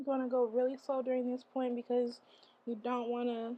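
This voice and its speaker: At a moderate pace, a woman talks in a high pitch with monotone, flat intonation. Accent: American. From Michigan, USA. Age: young. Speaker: college student, beauty vlogger. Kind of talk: casual get-ready-with-me tutorial talk.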